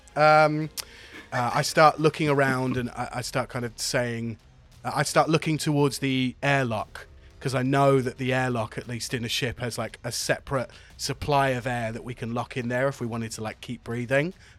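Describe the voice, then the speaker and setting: Music plays in the background as a man speaks at a medium pitch. His pace is moderate and his intonation fairly even. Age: 40s. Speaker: podcast host and role-play player. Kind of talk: casual tabletop role-play chat.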